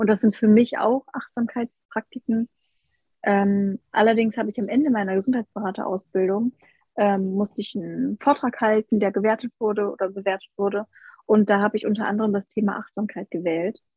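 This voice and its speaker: Somewhat breathy, a woman talks at a fairly quick pace with medium pitch and fairly even intonation. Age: 20s. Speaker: health coach. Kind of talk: casual chat.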